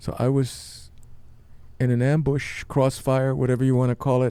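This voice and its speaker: A man's voice at a medium pitch, with a dark, mellow tone. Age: 70s. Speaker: podcast host, long-distance walker. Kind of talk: testimony. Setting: studio.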